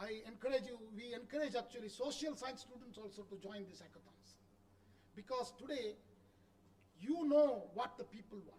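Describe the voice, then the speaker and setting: A man with a South Indian accent speaks at a moderate pace in an extremely high pitch with ordinary pitch variation. His loudness swings widely. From India, Karnataka. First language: Kannada. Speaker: education official. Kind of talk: conference speech.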